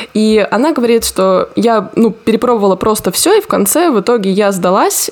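A woman speaks at a moderate pace in a medium pitch. She has an unremarkable speaking voice. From Rostov region, southern Russia. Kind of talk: casual chat.

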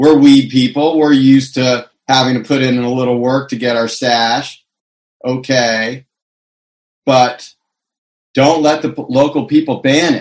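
In an American accent, a man with a medium pitch speaks in a flat monotone, with long, frequent pauses. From California. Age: 50s. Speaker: cannabis activist and consultant. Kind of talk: interview.

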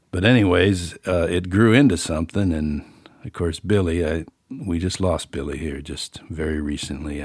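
A man with an American accent speaks in a very deep, low, somewhat breathy voice with ordinary pitch variation. His tone is relaxed, and the recording is very clean with a silent background. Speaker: author and musician, podcast host. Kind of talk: casual solo monologue, reading an essay. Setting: home studio, room above garage. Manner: relaxed, folksy, conversational.

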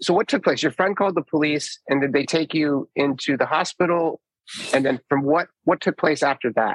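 This man has an unremarkable speaking voice, fairly high in pitch, with ordinary pitch variation, very even loudness, a moderate pace, and a dry, close sound with no echo. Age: 50s. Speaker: podcast host. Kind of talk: casual interview conversation.

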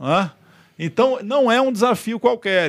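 A man talks fairly slowly, with a very clean recording and a silent background. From Rio de Janeiro, Brazil. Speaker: politician and government communications secretary. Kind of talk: interview. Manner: halting, repeats words.

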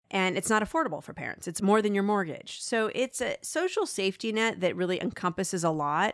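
A woman with a normal speaking voice talks at a fairly quick pace with hardly any pauses, medium pitch and lively intonation. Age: 40s. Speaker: journalist. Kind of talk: interview.

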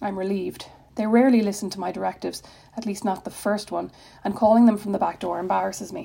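Natural-voiced reading aloud

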